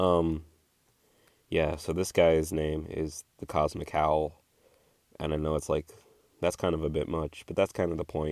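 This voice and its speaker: A man with a very deep, low voice speaks in a flat monotone at a fairly slow pace, leaving long, frequent pauses, on a very clean recording with a silent background. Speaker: art vlogger. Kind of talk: casual voiceover commentary. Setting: home voiceover recording.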